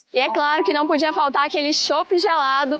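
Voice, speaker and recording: Noticeable background noise sits behind a woman speaking at a high pitch. She keeps a moderate pace with an upbeat tone. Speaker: event host. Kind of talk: event coverage presentation. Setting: outdoors.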